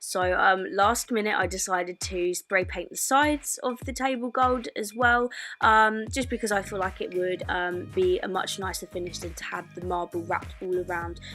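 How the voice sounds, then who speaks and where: Music plays behind a woman speaking at a moderate pace. She hardly pauses. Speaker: lifestyle blogger. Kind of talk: DIY tutorial voice-over. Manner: casual, hesitant with fillers.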